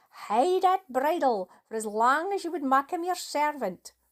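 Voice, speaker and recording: A put-on character voice in a Scottish accent, at a fairly slow pace. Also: woman. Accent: Scots. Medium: read story.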